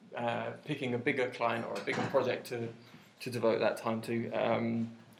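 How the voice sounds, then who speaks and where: Over audible room echo, a man with a medium-pitched voice speaks at a moderate pace. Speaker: web developer giving a meetup talk. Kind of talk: conference talk. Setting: meetup with live audience. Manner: hesitant, many fillers.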